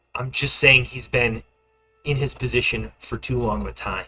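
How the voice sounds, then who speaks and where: Putting on a character voice, a man talks at a moderate pace in a raspy, medium-pitched voice. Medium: actual play.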